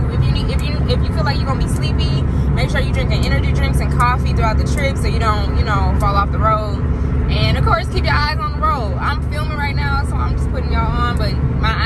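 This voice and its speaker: The speech moves at a very fast pace. Loud background noise fills a dry sound with no echo. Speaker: vlogger. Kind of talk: casual vlog chat. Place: car. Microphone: phone near.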